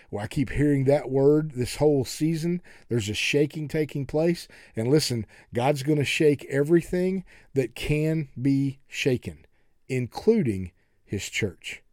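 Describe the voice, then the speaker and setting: At a fairly slow pace, a man with a normal speaking voice talks in an American accent, his fairly high pitch showing ordinary variation. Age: 60s. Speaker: pastor and podcast host. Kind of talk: sermon-style podcast monologue. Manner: folksy, conversational.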